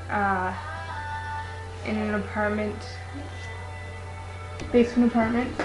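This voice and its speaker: A man talks with a slight Newfoundland accent over clear music in the background. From Toronto, Ontario, Canada. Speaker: vlogger introducing themself. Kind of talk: casual talk to camera. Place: home room. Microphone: webcam.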